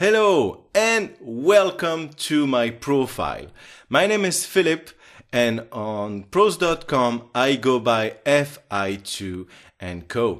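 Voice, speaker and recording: A man with a French accent speaks very slowly in a fairly high pitch, his voice swinging very widely in pitch. The recording is very clean, with a silent background. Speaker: translator and software trainer. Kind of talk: self-promotional profile video.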